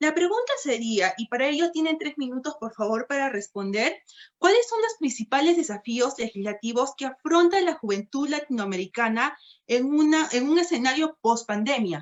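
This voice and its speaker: A woman talks at a moderate pace, her high pitch swinging very widely. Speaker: moderator. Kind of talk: moderating a panel.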